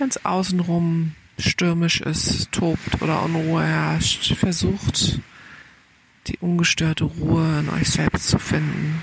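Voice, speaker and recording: Noticeable background noise sits under a woman's voice. She speaks at a very slow pace in a calm, soothing tone. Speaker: meditation guide. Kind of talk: guided meditation. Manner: slow, calm, soothing, with gentle pauses; soft-spoken.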